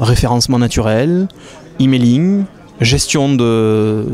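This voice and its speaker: A man speaks with a southern French accent at a medium pitch. Noticeable background noise runs behind him. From Béziers, southern France. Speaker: company founder. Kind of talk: interview answer.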